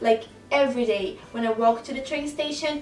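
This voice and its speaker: Against noticeable background noise, a woman with a Brazilian Portuguese accent speaks at a moderate pace in a high pitch with ordinary pitch variation. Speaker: photographer and blogger. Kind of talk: casual talk to camera.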